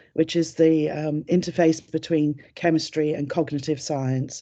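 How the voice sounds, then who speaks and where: With a British accent, a woman speaks in a very deep, low voice with a dark, mellow tone. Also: quiet background. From UK. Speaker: chemistry lecturer and academic advisor. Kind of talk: informational webinar presentation. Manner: hesitant, many fillers.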